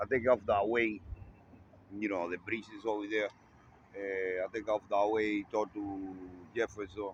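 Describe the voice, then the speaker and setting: This man has a fairly low voice and speaks with a non-native accent. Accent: non-native English speaker. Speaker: vlogger. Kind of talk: casual video monologue. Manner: halting.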